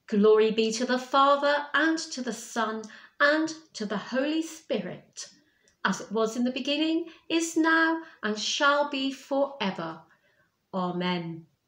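A woman speaks at a fairly slow pace in a high voice, with audible echo from the room. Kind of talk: liturgical prayer reading. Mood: calm devotional. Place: home room. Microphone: webcam.

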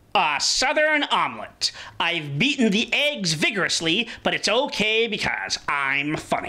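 A cartoonish character voice with a fairly high pitch and very wide pitch swings. The pace is moderate. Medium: puppet show.

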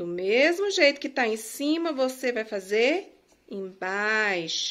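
Her voice sits fairly high, and this woman's pitch swings very widely. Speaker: teacher; home tutor teaching handwriting. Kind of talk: tutorial. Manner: slow. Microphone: phone near.

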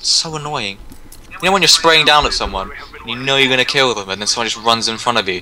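Over noticeable background noise, the speech moves at a very fast pace. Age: 20s. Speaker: gamer. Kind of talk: gameplay chat. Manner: animated.

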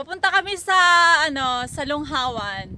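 A woman at a fairly slow pace, dry sound with no echo, light background noise behind her. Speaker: vlogger. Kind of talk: casual vlog chat. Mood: cheerful, laughing. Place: open country. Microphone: phone near.

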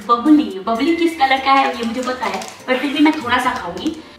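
A high-pitched woman's voice with audible room echo and clear music behind it. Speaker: vlogger. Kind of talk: casual vlog chat. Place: home room. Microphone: camera far.

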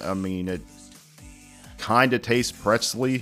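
The speaker is a man. Faint music can be heard behind him. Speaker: food reviewer. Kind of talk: casual review commentary. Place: home room. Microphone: studio mic.

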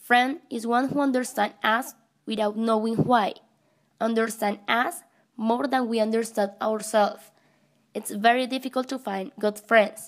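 This woman speaks with a Spanish accent at a fairly high pitch. Her pace is fairly slow and her intonation fairly even. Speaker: English teacher. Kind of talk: scripted narration.

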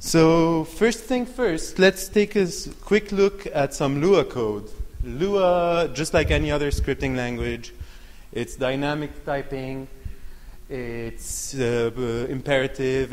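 The man's intonation is lively. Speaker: conference presenter. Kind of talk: lecture. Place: hall. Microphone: handheld.

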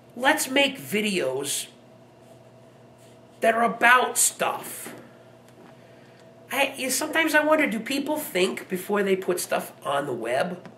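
In a raised, projected voice, a man speaks very slowly with long, frequent pauses and very wide pitch swings over light background noise. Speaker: vlogger. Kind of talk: casual vlog rant to camera. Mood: irritated, ranting.

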